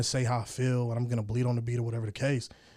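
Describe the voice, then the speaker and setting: A man with an American accent talks at a very fast pace. His medium-pitched voice is somewhat breathy with a dark, mellow tone. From Colorado. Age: 20s. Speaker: rapper and army veteran. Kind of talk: casual chat. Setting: studio.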